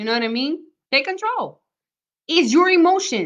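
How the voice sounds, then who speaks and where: A woman with lively intonation, a moderate pace and a bright, sharp tone. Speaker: motivational vlogger. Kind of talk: live stream motivational talk. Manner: animated.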